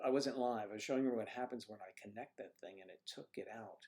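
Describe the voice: A man's fairly low voice, slightly mellow with a slightly husky edge, at a moderate pace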